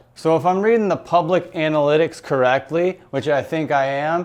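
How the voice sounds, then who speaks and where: Here is a man with a plain, everyday voice, fairly high in pitch with ordinary pitch variation. He speaks at a fairly slow pace against a quiet background. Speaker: YouTube commentator. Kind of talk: casual talk to camera.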